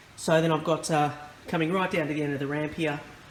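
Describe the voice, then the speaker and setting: Here a man speaks with a high pitch. Noticeable background noise is present. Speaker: model railway hobbyist. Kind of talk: tutorial. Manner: hesitant, many fillers.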